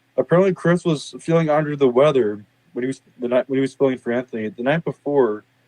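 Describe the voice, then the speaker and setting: A man speaks at a very fast pace in a fairly high pitch, with ordinary pitch variation. His tone is dark and mellow, and the sound is dry and close with no echo. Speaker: podcast co-host. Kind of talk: casual chat. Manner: halting.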